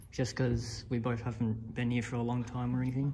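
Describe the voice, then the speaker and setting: Over light background noise, a man speaks in a monotone, flat way with a somewhat breathy sound. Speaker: urban explorer vlogger. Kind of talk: casual vlog chat. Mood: curious, slightly nervous. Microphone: phone near.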